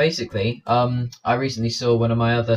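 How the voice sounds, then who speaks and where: A man with an English accent speaks with a somewhat breathy voice at a medium pitch. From England. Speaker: gaming commentator. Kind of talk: gameplay commentary. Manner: fast.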